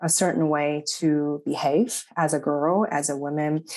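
A woman speaks with a Chinese accent, her pitch fairly low. Her intonation is fairly even over a quiet background. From China, Shanghai. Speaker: psychology professor. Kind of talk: academic interview.

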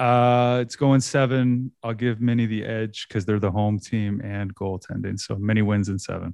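With a Canadian Maritime accent, a man of fairly low pitch speaks at a moderate pace with fairly even intonation and hardly any pauses. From Nova Scotia, Canada. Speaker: sports podcaster. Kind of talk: casual sports chat.

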